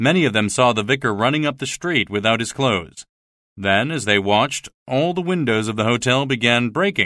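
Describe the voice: The plain reading aloud has lively intonation over a quiet background.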